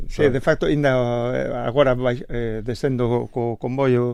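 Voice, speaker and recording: A man speaks with a Galician accent at a fairly slow pace. His pitch sits in the medium range. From Galicia, Spain. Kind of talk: interview answer.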